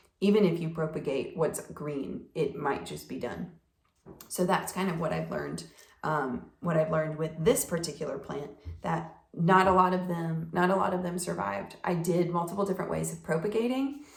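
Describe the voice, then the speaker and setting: A woman speaks at a moderate pace in a fairly low voice with ordinary pitch variation. Room echo is audible. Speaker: plant hobbyist vlogger. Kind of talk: casual talk-to-camera tutorial. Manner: hesitant with fillers.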